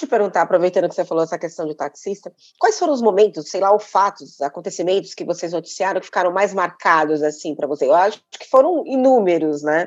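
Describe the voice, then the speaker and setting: A woman talks at a very fast pace and medium pitch. Her loudness swings widely while her pitch varies in an ordinary way. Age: 50s. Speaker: podcast host. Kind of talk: interview; scripted intro.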